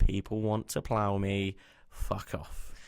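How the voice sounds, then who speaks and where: On a very clean recording with a silent background, the speaker talks at a fairly slow pace with a West Country accent. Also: man. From West Country, England. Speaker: podcast co-host. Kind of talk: casual chat.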